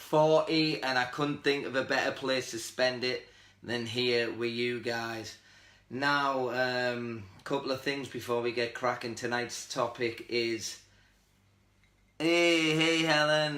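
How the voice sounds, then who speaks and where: A man with a Teesside accent speaks at a very slow pace in a medium-pitched voice with a bright, sharp tone. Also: fairly even intonation. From northern England, Middlesbrough. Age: 40s. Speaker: lifestyle livestream host. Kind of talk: casual livestream chat. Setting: Facebook live video stream.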